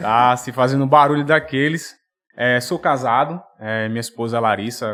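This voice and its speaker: With a strong potiguar accent, the speaker uses a bright, sharp tone at a moderate pace with ordinary pitch variation. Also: man, medium pitch for a man. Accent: thick Potiguar (Rio Grande do Norte). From Brazil, Rio Grande do Norte (Natal). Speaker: finance executive and financial educator. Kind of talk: podcast interview. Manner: hesitant, many fillers.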